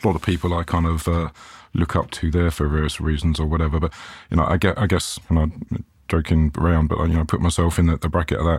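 A very deep, low-pitched man's voice in a British accent, somewhat breathy and monotone, very fast with very even loudness, on a very clean recording with a silent background. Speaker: IT manager. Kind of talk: casual interview chat.

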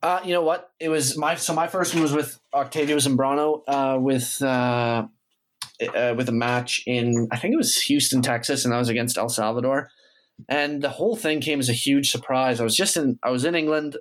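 A man with a Canadian accent and a plain, everyday voice speaks at a fairly high pitch and a moderate pace, with ordinary pitch variation and very even loudness. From Canada. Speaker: professional footballer. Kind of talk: interview.

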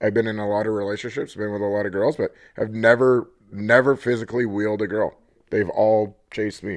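The voice moves at a fairly quick pace with flat, monotone intonation. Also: man. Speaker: guest, podcast voice and sidekick. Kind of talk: casual banter.

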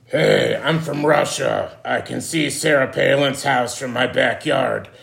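A man's put-on character voice, raspy and at a fairly slow pace

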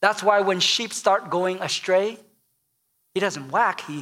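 The man has a high pitch and a bright, sharp tone. He moves at a moderate pace but with long, frequent pauses. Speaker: pastor. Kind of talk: sermon. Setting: church.

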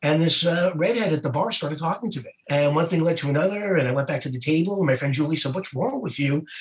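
A man's high voice in an American accent, very fast and lively in intonation, over noticeable background noise. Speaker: stand-up comedian and ship entertainer. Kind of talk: casual interview chat, telling anecdotes.

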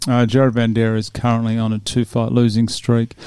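A man speaks fairly quickly with an Australian accent. His tone is dark and mellow, and his pitch sits in the medium range. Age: 40s. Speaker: podcast host discussing MMA fights. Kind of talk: casual chat. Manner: animated.

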